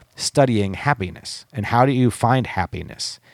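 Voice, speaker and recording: With an American accent, a man speaks in a normal speaking voice at a medium pitch, with lively intonation and a dry, close sound with no echo. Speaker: recovery podcast host. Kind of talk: casual chat. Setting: studio.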